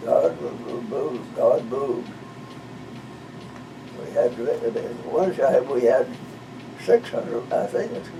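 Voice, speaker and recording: There is noticeable background noise as a man speaks at a very slow pace, with long, frequent pauses. His loudness swings widely. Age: 80s+. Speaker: retired pastor. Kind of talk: interview answer.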